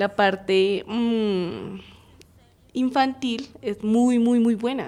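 A woman talks at a fairly high pitch. Hers is an unremarkable speaking voice. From Colombia, Bogotá. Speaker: university program coordinator in early childhood education. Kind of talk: radio interview.

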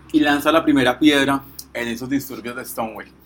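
Noticeable background noise beneath a man's voice, pitched fairly high. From Colombia, Pereira area. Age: 20s. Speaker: law student and activist. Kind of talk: reflective talk / explainer.

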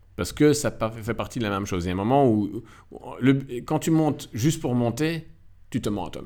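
A dark, mellow tone broken by long, frequent pauses. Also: man, medium pitch for a man, fairly quick pace, big swings in loudness. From Belgium, Nivelles (Walloon Brabant), Moroccan roots. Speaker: film editor and director. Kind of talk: casual interview. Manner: halting, many repetitions and hesitations.

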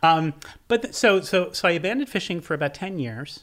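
Speaking very fast with lively intonation, a man talks with an American accent. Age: 50s. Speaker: author and seafood writer. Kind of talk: casual interview chat.

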